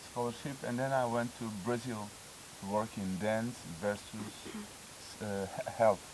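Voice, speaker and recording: Speaking at a medium pitch and fairly slow pace, a man keeps his intonation fairly even and pauses long and often. Noticeable background noise runs behind him. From Cape Verde. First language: Portuguese / Cape Verdean Creole. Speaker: dancer and dance teacher. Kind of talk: interview. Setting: dance festival. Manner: halting, searching for words.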